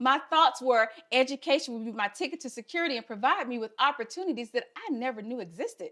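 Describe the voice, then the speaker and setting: With a Southern US accent, the voice moves at a fairly quick pace in a bright, sharp tone. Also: woman. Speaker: health equity fellow, speaker. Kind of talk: prepared talk.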